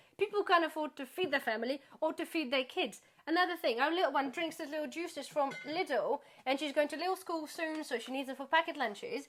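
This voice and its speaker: Over music in the background, a woman speaks high and fairly quickly with lively intonation. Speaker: YouTuber, charity volunteer. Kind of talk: casual chat. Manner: fast.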